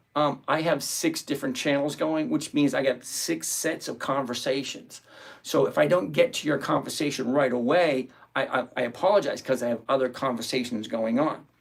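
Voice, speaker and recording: Here a man speaks at a fairly high pitch. His pace is moderate and his pitch variation ordinary. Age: 60s. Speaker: options trading livestream host. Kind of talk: live stream Q&A, reading chat questions. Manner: casual, conversational; halting, self-correcting.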